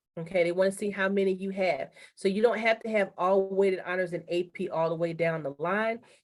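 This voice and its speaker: A woman with an unremarkable speaking voice talks at medium pitch and a moderate pace, her intonation fairly even. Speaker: high school college and career counselor. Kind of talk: online information session presentation.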